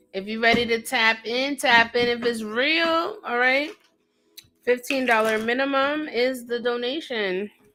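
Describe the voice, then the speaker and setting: In a New York accent, a woman speaks at a high pitch with a bright, sharp tone. Her pace is fairly slow and her pitch varies in an ordinary way. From upstate New York. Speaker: psychic tarot reader. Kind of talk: livestream chat. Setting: livestream. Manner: casual.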